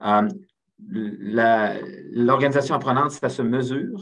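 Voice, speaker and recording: A man's voice against a quiet background. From Quebec, Côte-Nord (Port-Cartier). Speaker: physician and health agency executive. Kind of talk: lecture. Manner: halting, many filler 'euh' and repetitions.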